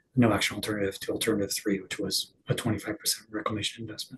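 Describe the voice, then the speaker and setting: Quiet and fairly low in pitch, a man speaks with fairly even intonation. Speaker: expert witness. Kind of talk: hearing testimony. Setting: public hearing. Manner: quiet, hard to hear; halting.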